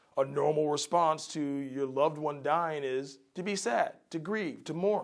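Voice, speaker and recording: Recorded very cleanly against a silent background, a man with a plain, everyday voice and fairly high pitch speaks at a fairly slow pace with ordinary pitch variation. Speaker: addiction counselor. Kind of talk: educational talk.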